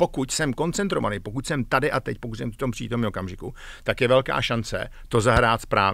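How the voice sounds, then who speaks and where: A man at medium pitch speaks fairly quickly with ordinary pitch variation, the sound dry with no echo and the background quiet. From Czechia. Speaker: executive coach, former tech manager; executive coach. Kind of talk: interview. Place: studio. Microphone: studio mic.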